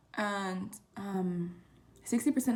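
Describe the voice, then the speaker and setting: Somewhat breathy, a woman's voice sits at a medium pitch. Its pitch variation is ordinary. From Southern California (Oxnard). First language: Spanish. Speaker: college student vlogger. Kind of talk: casual vlog talk. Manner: casual, hesitant with many fillers.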